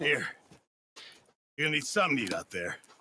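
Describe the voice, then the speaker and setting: This put-on character voice sounds raspy and moves at a very fast pace. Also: man, fairly high pitch for a man. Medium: video game. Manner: fretful.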